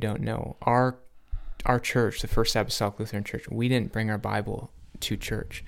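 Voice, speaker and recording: A man speaks at a moderate pace with a medium pitch and a monotone, flat intonation, with an American accent, on a very clean recording with a silent background. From Upper Midwest US, Finnish American community. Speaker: podcast host. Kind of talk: casual conversation.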